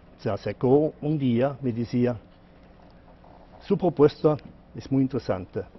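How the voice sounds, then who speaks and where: Here a man talks at a fairly slow pace with a medium pitch. The rise and fall of his pitch is ordinary. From Germany. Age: 60s. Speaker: economist and author. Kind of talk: TV interview. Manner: halting.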